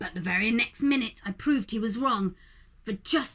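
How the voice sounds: The clip is in a natural reading voice.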